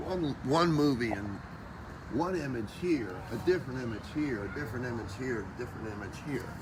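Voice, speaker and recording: With an American accent, a man talks at a fairly quick pace in a medium pitch with lively intonation, against noticeable background noise and audible room echo. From US South. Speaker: musician. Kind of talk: walking livestream tour. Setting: outdoors.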